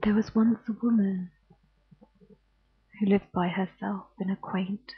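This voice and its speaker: A soft-spoken woman with a British accent, medium pitch, a very slow pace and a flat, monotone delivery. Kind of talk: bedtime ghost story reading.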